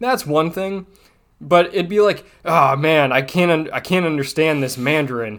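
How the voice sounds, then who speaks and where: A man speaks in a plain, everyday voice at a fairly high pitch. His pace is moderate and his pitch variation ordinary. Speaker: podcast guest. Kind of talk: casual chat.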